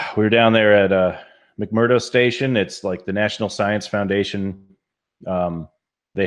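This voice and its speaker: Against a quiet background, a man with a fairly low pitch speaks at a moderate pace in fairly even intonation. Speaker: podcast co-host, military service member. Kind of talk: casual chat. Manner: loud.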